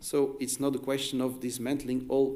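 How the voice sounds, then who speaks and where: A man speaks at a medium pitch with a Flemish accent and a dark, mellow tone. The room echo is audible. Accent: Flemish Dutch accent in English. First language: Dutch. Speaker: academic researcher. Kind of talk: conference presentation. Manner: halting, many fillers and restarts.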